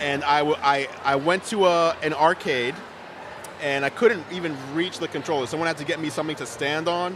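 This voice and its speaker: A man speaks with a fairly high pitch. Noticeable background noise runs under his voice. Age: 30s. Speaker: tech YouTuber and website owner. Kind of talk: interview. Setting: live event, convention floor. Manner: louder than usual, animated.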